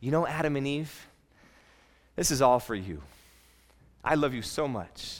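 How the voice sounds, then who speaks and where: Amid audible room echo, a man with a fairly high pitch talks at a moderate pace, with ordinary pitch variation and long, frequent pauses. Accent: American. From California. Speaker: pastor. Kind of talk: sermon.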